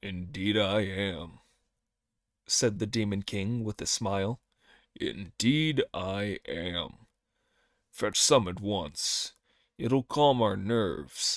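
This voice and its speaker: A man's put-on character voice at fairly low pitch, very slow with long, frequent pauses, in a very clean recording over a silent background. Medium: read story.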